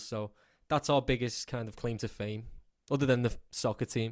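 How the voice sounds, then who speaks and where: A man with a Scouse accent speaks at a moderate pace on a very clean recording with a silent background. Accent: Scouse (Liverpool English). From England, Liverpool. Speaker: country music singer. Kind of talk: radio interview.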